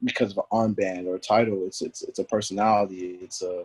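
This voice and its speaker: A man's voice, dry and close with no echo, over music in the background. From US, born in DC, raised in Houston, Texas; Nigerian parents. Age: 20s. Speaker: former pro soccer player. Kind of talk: podcast interview.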